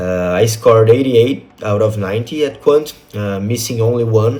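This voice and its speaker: Here a man talks at a moderate pace with a Portuguese accent. His voice has a medium pitch. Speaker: test-prep student, financial advisor. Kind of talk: testimonial. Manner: hesitant, frequent fillers.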